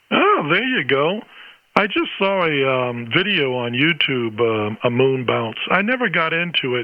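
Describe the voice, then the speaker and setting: A man talks with lively intonation at a fairly slow pace, his pitch fairly high. It is an ordinary speaking voice. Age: 60s. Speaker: ham radio operator, retired band teacher. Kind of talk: ham radio conversation. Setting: amateur radio transmission.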